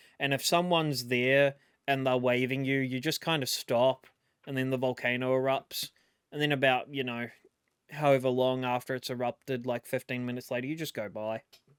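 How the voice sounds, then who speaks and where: A man with a New Zealand accent speaks fairly quickly at a medium pitch, his intonation monotone and flat. The sound is dry and close with no echo, in a very clean recording with a silent background. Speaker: YouTube reaction commentator. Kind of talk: casual reaction commentary. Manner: casual, hesitant with false starts.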